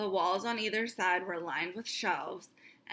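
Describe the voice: It is a plain read-aloud delivery.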